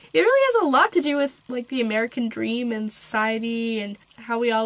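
Noticeable background noise sits behind a woman's voice. Her pitch is fairly high and her intonation fairly even. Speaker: book reviewer. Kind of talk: casual book review to camera.

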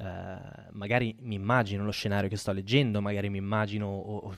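Speaking at a fairly quick pace, a man uses a fairly low pitch and monotone, flat intonation in a very clean recording with a silent background. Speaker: podcast host. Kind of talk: live-streamed podcast talk. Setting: live stream. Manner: hesitant, many fillers.

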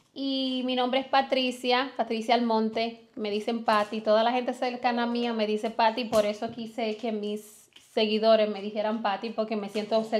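A woman's fairly high voice at a moderate pace, monotone and flat in intonation. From Dominican Republic. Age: 20s. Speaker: family vlogger. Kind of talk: casual chat. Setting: livestream at home.

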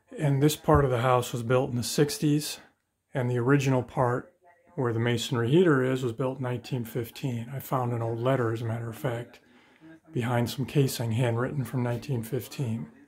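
The pace is moderate for this man. His intonation stays fairly even over light background noise. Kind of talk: casual tour commentary. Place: home room. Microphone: phone near.

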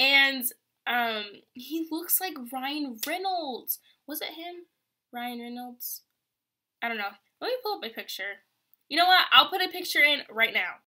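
A woman with a high, bright, sharp voice projects it loudly in an animated tone, with very wide pitch swings and big swings in loudness. She goes at a fairly slow pace with long, frequent pauses over a quiet background. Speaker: vlogger and college student; vlogger. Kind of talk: casual vlog. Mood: chatty, ranting about college. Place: home room. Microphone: webcam.

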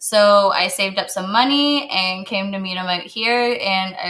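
The speaker has a Canadian accent. The pace is fairly slow. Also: woman. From Kitchener, Ontario; Ontario. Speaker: chef; guest. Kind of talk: casual chat and cooking demonstration. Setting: video call from her kitchen. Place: kitchen.

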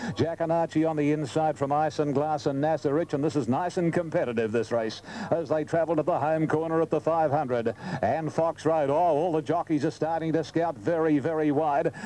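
Over noticeable background noise, a man with an Australian accent talks at a moderate pace with a fairly high pitch, very even loudness and fairly even intonation. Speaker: race caller. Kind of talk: live commentary.

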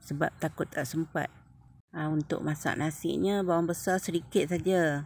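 A woman with a very deep, low pitch speaks fairly slowly with fairly even intonation, the sound dry with no echo and faint music in the background. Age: old. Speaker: cooking vlogger. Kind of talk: cooking tutorial. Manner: casual. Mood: relaxed, friendly. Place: kitchen. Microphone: phone near.

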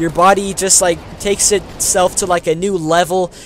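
With an American accent, a man speaks at a high pitch with fairly even intonation. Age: young. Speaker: gaming YouTuber. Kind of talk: casual vlog commentary.

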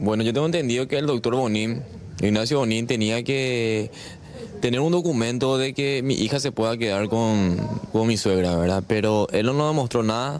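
The pace is moderate and the tone slightly mellow. Pitch variation is ordinary, with faint background noise. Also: man, medium pitch for a man.

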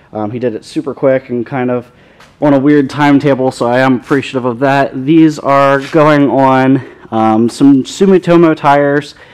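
A man's fairly even-toned speech with music in the background. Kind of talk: casual vlog chat. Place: garage. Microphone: phone near.

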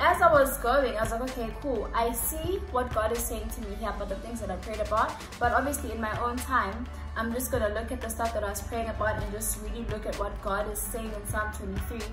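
Clear music plays behind a woman's voice. She talks at a fairly quick pace. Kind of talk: casual vlog chat about Bible study. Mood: warm, earnest. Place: home room.

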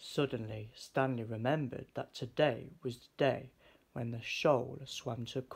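In a natural voice, a person reads a text aloud.

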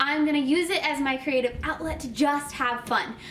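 A woman with a high pitch and a bright, sharp tone speaks at a moderate pace. Light background noise can be heard. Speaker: channel host. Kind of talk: casual vlog chat. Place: home room.

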